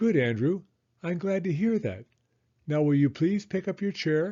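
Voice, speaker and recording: A man's put-on character voice, high in pitch with lively intonation. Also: moderate pace. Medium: read story.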